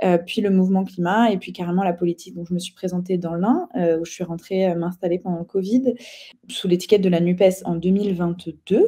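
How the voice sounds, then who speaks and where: A woman keeps her intonation fairly even as she talks quite quickly at a medium pitch. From eastern France (Ain). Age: 30s. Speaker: political activist. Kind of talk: interview. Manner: hesitant, many fillers.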